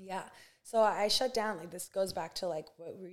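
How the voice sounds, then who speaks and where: On a very clean recording with a silent background, a woman of medium pitch speaks at a fairly quick pace with fairly even intonation. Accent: American. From US West Coast, Santa Barbara, California. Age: 20s. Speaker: basketball coach, former pro player. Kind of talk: casual interview.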